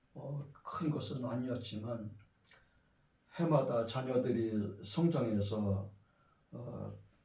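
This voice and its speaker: Speaking very slowly with long, frequent pauses, a man at a medium pitch uses ordinary pitch variation, while audible room echo and noticeable background noise fill the recording. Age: 60s. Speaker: pastor. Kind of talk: sermon. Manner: halting.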